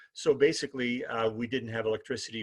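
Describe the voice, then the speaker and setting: Against a quiet background, a man with a Canadian prairie accent sounds somewhat breathy. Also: dry, close sound with no echo. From Manitoba, Canada (Winnipeg North End, East Selkirk). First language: Ukrainian. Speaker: human library speaker. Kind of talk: personal life story talk. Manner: halting, many fillers.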